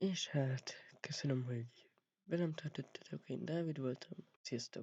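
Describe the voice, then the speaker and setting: A somewhat breathy voice at a fairly slow pace, with a dry, close sound and no echo. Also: man, fairly high pitch for a man, ordinary pitch variation. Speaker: vlogger. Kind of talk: casual vlog talk.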